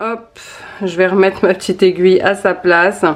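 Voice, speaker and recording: This woman's voice sits at a medium pitch. Noticeable background noise runs behind her. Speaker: lifestyle vlogger, stay-at-home mother. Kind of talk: casual vlog tutorial. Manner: hesitant, many fillers.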